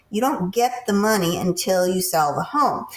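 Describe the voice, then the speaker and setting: Her pitch sits in the medium range for a woman, varying in an ordinary way. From US Northeast. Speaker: podcast host. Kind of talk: interview.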